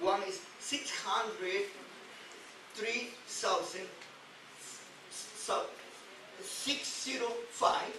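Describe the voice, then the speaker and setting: Over noticeable background noise and audible room echo, a man with an extremely high pitch speaks at a very slow pace, with lively intonation and long, frequent pauses. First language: Spanish. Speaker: rabbi teaching weekly Torah portion. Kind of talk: religious teaching lecture. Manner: halting, frequent repetitions.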